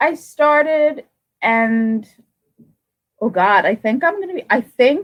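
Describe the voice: A woman speaks slowly in a high voice. Her intonation is lively.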